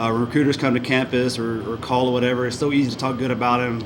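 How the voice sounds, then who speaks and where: A man with a Southern US accent speaks at a very fast pace, with noticeable background noise and audible room echo around him. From US South. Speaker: high school football coach. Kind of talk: award speech.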